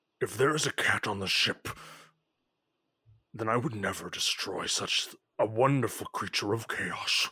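A raspy put-on character voice from a man, medium in pitch, at a moderate pace with long, frequent pauses. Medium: actual play. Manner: blunt, excitable.

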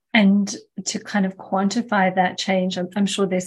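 Flat, monotone intonation marks this somewhat breathy voice. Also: woman. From South Africa. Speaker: podcast host. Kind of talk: podcast interview.

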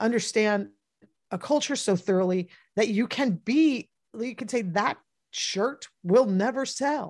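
Against a quiet background, a woman with an unremarkable speaking voice talks fairly slowly at a fairly high pitch with ordinary pitch variation. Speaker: podcast co-host. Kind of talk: live-streamed podcast chat. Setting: live webinar broadcast.

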